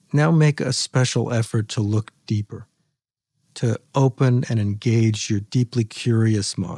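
A man with a medium pitch talks at a fairly slow pace in a soothing, calm, dark and mellow tone, somewhat breathy, with a dry, close sound and no echo. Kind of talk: guided meditation. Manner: slow, soothing, calm and gently instructive; unhurried with long pauses, soft and inviting.

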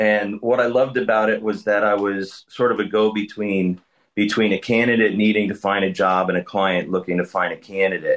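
Over a quiet background, a man talks at a fairly quick pace with hardly any pauses, his fairly low voice monotone and flat and his loudness very even. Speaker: staffing firm founder and author. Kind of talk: interview.

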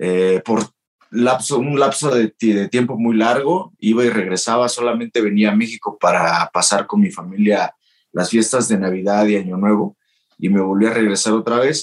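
A man with a normal speaking voice talks at a moderate pace, with ordinary pitch variation and very even loudness. The sound is dry and close, with no echo. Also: medium pitch for a man. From Mexico. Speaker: professional wrestler. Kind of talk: interview.

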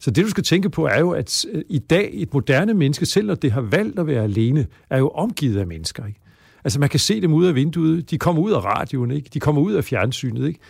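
With vocal fry, a man talks at a fairly quick pace and fairly high pitch, his pitch swinging very widely. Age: 60s. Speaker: psychology professor. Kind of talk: interview.

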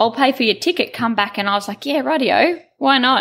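A woman talks with an Australian accent and lively intonation. The recording is very clean, with a silent background. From Queensland, Australia. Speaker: cattle station owner. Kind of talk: interview.

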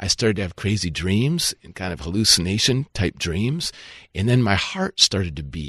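A man with an American accent and vocal fry speaks at a fairly low pitch and moderate pace with lively intonation, the sound dry and close with no echo against a quiet background. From Minnesota, US Midwest. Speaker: pastor and former pro soccer goalkeeper. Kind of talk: interview, faith testimony.

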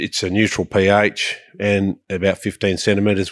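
Recorded very cleanly against a silent background, a man with an Australian accent talks in a fairly low pitch, the sound dry and close with no echo. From Sydney, Australia. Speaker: farmer. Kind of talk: casual interview.

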